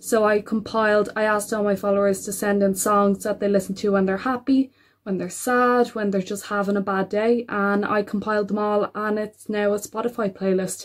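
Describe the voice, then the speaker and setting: In an Irish accent, a woman talks at a moderate pace with monotone, flat intonation and hardly any pauses. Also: medium pitch for a woman. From Ireland. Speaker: mental health advocate. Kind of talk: personal introduction to camera.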